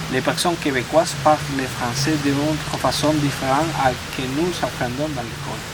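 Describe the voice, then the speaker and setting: A man with a fairly high pitch speaks in a flat monotone at a moderate pace. Noticeable background noise and audible room echo are present. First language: Spanish (speaking French). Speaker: immigrant French learner. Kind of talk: casual chat. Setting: outdoors at a campsite. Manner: halting, with many restarts and repetitions.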